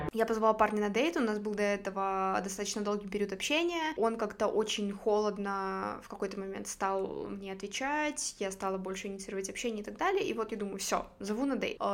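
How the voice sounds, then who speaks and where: Against noticeable background noise, the speaker moves at a fairly quick pace with hardly any pauses and ordinary pitch variation. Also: woman, medium pitch for a woman. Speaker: podcast host. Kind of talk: casual interview chat.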